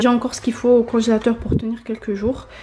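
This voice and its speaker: Over noticeable background noise, a woman talks in a high pitch. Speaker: vlogger. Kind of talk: casual vlog narration.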